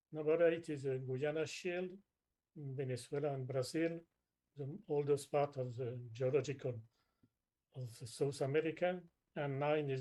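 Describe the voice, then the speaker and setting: A man's fairly high-pitched voice with a dark, mellow tone, a non-native accent, fairly even intonation and a moderate pace. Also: long, frequent pauses. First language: not English. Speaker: groundwater expert. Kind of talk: webinar presentation. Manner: halting.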